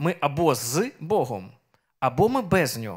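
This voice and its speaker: A man is speaking. Nothing much stirs behind him. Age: 30s. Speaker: preacher. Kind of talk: sermon. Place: church. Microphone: handheld.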